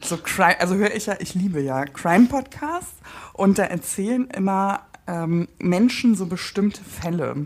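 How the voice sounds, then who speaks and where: With lively intonation and a medium pitch, a woman talks at a moderate pace in an ordinary speaking voice. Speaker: podcast host and breast cancer survivor. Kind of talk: casual chat.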